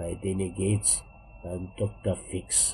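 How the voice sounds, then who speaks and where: Very deep and low, a man's voice sounds somewhat breathy with a dark, mellow tone. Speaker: German language teacher. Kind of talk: dialect poetry reading.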